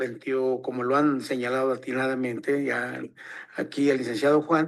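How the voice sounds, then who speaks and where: Fairly high in pitch, a man's speech moves at a moderate pace. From Mexico, northern Veracruz/Puebla Totonac region. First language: Totonac (tutunacú) (speaking Spanish). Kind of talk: forum talk. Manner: halting, many fillers.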